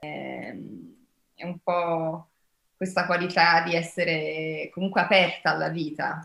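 With audible room echo, a woman reads at a very slow pace in a fairly low, bright, sharp voice with vocal fry, monotone and flat, her loudness swinging widely between long, frequent pauses. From Brazil, widely travelled. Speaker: actress; actress at press junket. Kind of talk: press interview. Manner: hesitant, many fillers. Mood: warm, reflective. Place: home room. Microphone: video call.

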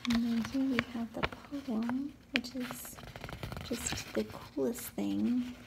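Loud background noise fills the clip. A woman speaks at a very slow pace. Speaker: ASMR creator. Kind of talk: ASMR soft-spoken talk to camera. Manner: soft-spoken, gentle, soothing. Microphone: phone near.

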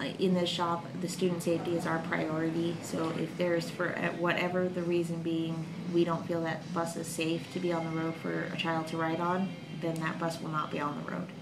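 There is noticeable background noise. Against it, a woman talks fairly quickly. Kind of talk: interview answer. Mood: calm, friendly.

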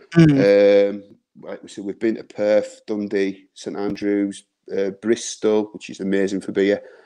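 A man's fairly low, dark, mellow voice with a northern English accent, ordinary pitch variation, big swings in loudness, a fairly slow pace and a quiet background. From northern England. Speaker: beer reviewer. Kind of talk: casual chat. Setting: video call. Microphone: video call.

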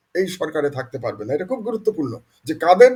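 This man's pitch swings up and down very widely as he talks. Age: old. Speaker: political commentator. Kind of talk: political appeal. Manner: emphatic.

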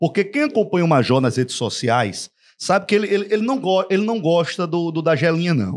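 At a fairly quick pace, a man speaks with a high pitch, an animated tone and very wide pitch swings. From Rio Grande do Norte, Brazil. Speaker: sports podcast host. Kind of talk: casual chat. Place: studio. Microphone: studio mic.

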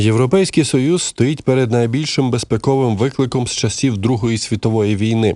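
A man with an ordinary speaking voice at a medium pitch and a moderate pace, on a very clean recording with a silent background. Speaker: news presenter. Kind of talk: news reading.

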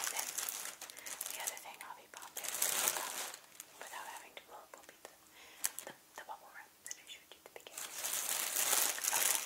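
A woman is whispering at a fairly quick pace. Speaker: ASMR creator. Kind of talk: ASMR blowing up plastic bags and balloons, casual talk to camera. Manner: soft-spoken, whispered. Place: home room.

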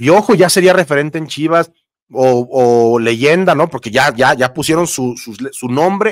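Against a quiet background with a dry sound and no echo, a man talks at a moderate pace with lively intonation. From Mexico. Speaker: sports YouTuber. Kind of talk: live stream chat. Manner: casual, conversational. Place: home room. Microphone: studio mic.

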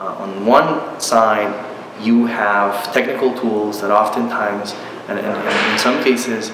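In a room with audible echo and noticeable background noise, a man speaks at a fairly low pitch and a fairly slow pace with monotone, flat intonation. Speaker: university professor. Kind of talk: interview answer. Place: home room.

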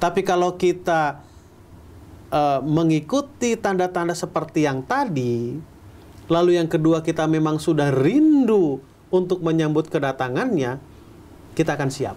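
Ordinary pitch variation from a man pitched fairly high, at a fairly slow pace. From Bandung, West Java, Indonesia. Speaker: pastor. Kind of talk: Bible teaching and sermon-like discussion. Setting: studio. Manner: conversational, asks rhetorical questions. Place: studio.

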